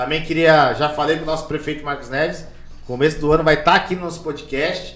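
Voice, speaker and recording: Very fast, monotone, flat speech from a man with a fairly high voice, amid audible room echo. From Brazil, Carapicuíba (São Paulo area). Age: 40s. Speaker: city councillor and podcast host. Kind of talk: casual chat.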